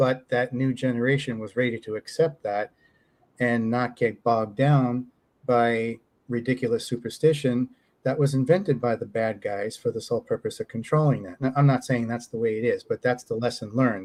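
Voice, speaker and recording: An unremarkable speaking voice moves at a moderate pace. The intonation stays fairly even. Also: man, medium pitch for a man. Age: 50s. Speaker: UFO experiencer and author. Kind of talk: podcast interview.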